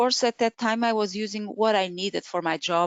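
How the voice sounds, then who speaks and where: Here a woman talks with a Portuguese accent and ordinary pitch variation. The sound is dry with no echo, and the background is quiet. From Portugal. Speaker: Excel trainer. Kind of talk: webinar presentation. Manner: halting. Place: home room. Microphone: webcam.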